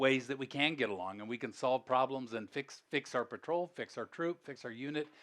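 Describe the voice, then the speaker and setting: At a moderate pace, a man talks with a medium pitch and a normal speaking voice. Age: 60s. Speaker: former airline CEO, speaker. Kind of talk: motivational talk to youth audience. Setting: stage with audience. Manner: casual, conversational with fillers.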